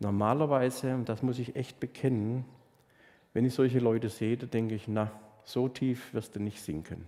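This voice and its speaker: At a moderate pace, a man speaks with a medium pitch, a warm tone and a dark, mellow tone. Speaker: pastor. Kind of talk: sermon; warm, personal sermon to a congregation. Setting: church. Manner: animated, direct address to listeners; warm, sincere, heartfelt, storytelling.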